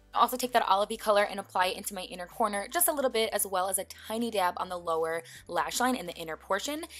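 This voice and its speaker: Over music in the background, a woman with a medium pitch speaks at a very fast pace in an upbeat tone with lively intonation. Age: 20s. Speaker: beauty vlogger. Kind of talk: makeup tutorial voiceover. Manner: casual, upbeat.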